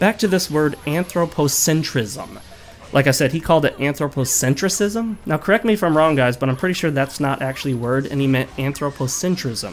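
Through noticeable background noise, a man speaks at a fairly quick pace with a fairly high pitch and lively intonation. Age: adult, college graduate. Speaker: gaming YouTuber. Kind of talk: video commentary monologue.

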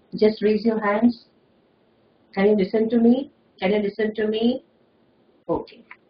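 A woman talks in a monotone with flat intonation, fairly high in pitch and somewhat breathy, leaving long, frequent pauses. Audible room echo and light background noise come through. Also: moderate pace. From India. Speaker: school lecturer. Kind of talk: lecture. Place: office. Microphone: webcam.

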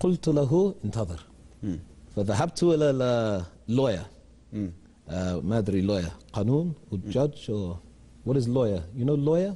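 Speaking with an English accent, a man with a dark, mellow, somewhat breathy tone and medium pitch moves through very wide pitch swings at a fairly slow pace, leaving long, frequent pauses. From England, London. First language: English (speaking Arabic). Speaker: English teacher. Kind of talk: TV interview. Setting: studio. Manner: halting. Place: studio. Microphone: lapel.

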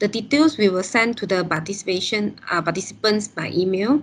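A woman speaks with fairly high pitch and ordinary pitch variation. It is an ordinary speaking voice. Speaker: event secretariat moderator. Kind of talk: event introduction. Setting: video call. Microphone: video call.

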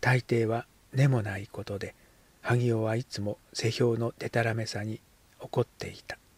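A passage is read aloud. The voice is natural.

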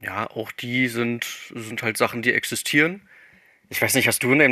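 At a moderate pace, a man speaks at a medium pitch with a bright, sharp tone and fairly even intonation. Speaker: podcast guest, gaming fan. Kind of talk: casual chat. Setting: voice chat on Discord. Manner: stumbling over words.

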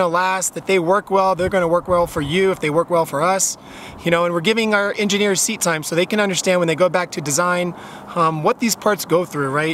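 A man's high-pitched voice with ordinary pitch variation at a fairly quick pace, dry with no echo, over light background noise. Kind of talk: promotional vlog chat. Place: open country.

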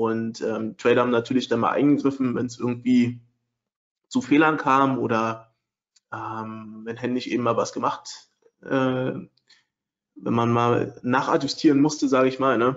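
Medium in pitch and monotone with flat intonation, a man talks at a fairly slow pace with long, frequent pauses. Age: 30s. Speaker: trading software developer and webinar presenter. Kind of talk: webinar lecture. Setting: online webinar with screen sharing.

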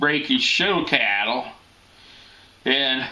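Here a man speaks at a very slow pace. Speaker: storyteller. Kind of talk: casual storytelling. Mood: cheerful, amused. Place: home room. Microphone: webcam.

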